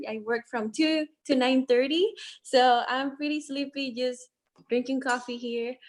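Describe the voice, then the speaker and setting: Her pitch is high, with ordinary variation. The woman talks at a moderate pace in a non-native accent. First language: not English. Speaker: student legislator. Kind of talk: casual chat.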